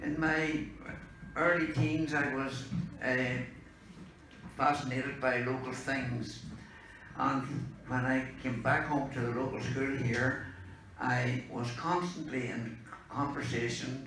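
A man's very slow delivery with long, frequent pauses, fairly even intonation, audible room echo and light background noise. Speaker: speaker. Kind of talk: informal talk to an audience. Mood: relaxed, humorous. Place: meeting room.

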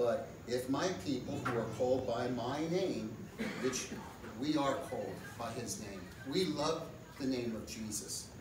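A man talks at a medium pitch with ordinary pitch variation. Noticeable background noise and audible room echo are present in the recording. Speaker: pastor or lay preacher leading community prayer. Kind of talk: sermon-style message and fervent public prayer; fervent intercessory prayer, pleading for national revival. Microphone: camera far.

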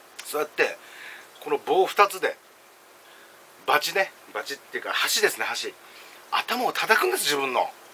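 A man at a moderate pace, with long, frequent pauses, big swings in loudness, and light background noise. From Okinawa/Kagoshima region. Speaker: food and drink vlogger; drink vlogger. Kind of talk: casual solo vlog while eating and drinking. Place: home room. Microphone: phone near.

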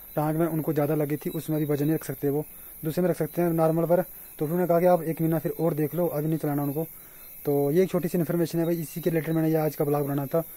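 A man with a dark, mellow tone speaks very fast in a flat monotone, the sound dry with no echo. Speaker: vlogger. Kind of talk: casual vlog chat. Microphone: phone near.

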